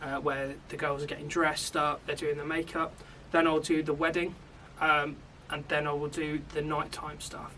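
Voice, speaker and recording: Over noticeable background noise, a man with a British accent talks at a moderate pace in a fairly high, monotone, flat voice. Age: 20s. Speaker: media production lecturer and videographer. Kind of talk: podcast interview.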